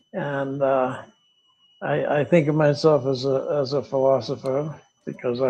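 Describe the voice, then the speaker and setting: A man speaks fairly slowly with an American accent. His voice sits at a medium pitch and has a dark, mellow tone. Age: 80s+. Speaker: retired teacher and philosopher. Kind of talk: interview. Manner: halting, repeats words.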